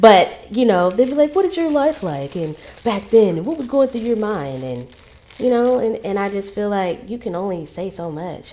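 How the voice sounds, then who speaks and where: An animated woman at a moderate pace with very wide pitch swings, over noticeable background noise. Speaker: podcast host. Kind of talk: casual monologue vlog. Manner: loud.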